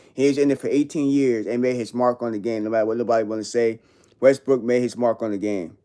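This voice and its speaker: Very fast pace from a man with a New York accent, a dark, mellow tone, medium pitch and fairly even intonation, on a very clean recording with a silent background. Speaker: live streamer. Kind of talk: casual livestream chat. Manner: casual slang-heavy.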